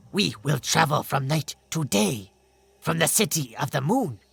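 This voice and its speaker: The put-on character voice sits at a low-to-middle pitch and moves at a fairly slow pace. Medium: read story. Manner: earnest, careful, nervous.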